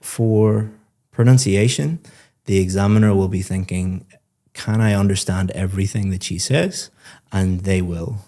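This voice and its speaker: Over a very clean recording with a silent background, a relaxed voice with a dark, mellow tone moves at a moderate pace with long, frequent pauses and fairly even intonation. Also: man, fairly low pitch for a man. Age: adult parent. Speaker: IELTS speaking examiner giving feedback. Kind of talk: spoken feedback to a student. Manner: conversational, relaxed.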